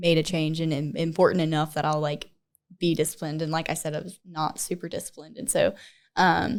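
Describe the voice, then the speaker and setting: A woman with a plain, everyday voice, fairly low in pitch, on a very clean recording with a silent background. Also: fairly even intonation. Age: 20s. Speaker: gym member. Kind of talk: casual chat.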